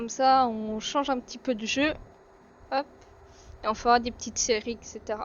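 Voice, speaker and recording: A woman's high voice at a fairly slow pace. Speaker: gaming streamer. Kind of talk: gameplay commentary. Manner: casual, hesitant with many fillers.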